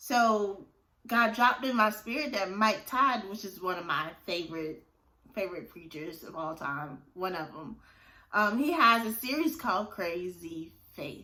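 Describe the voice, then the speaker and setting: A woman speaks at a fairly slow pace in a medium pitch, her bright, sharp tone rising and falling widely in pitch and swinging greatly in volume. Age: 30s. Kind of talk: casual talk to camera, faith testimony. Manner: upbeat, enthusiastic.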